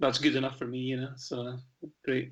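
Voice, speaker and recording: The voice carries a Scottish accent with a bright, sharp tone. Its intonation stays monotone and flat. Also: man. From Scottish Highlands. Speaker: Americana musician. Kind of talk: radio interview. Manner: halting, many fillers.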